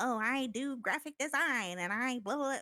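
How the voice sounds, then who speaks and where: A put-on character voice, female-sounding and high-pitched, at a moderate pace. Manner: mocking.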